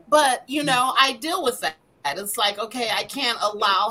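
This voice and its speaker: A woman speaks with an American accent and ordinary pitch variation. Noticeable background noise is present. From Denver, Colorado. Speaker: minister and foster mother. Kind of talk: casual chat. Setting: video call.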